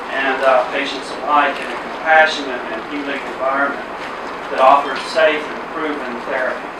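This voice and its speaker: A man with an American accent speaks at a moderate pace in a fairly high voice with fairly even intonation. Noticeable background noise and audible room echo are present. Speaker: hospital executive. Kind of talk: ceremony speech.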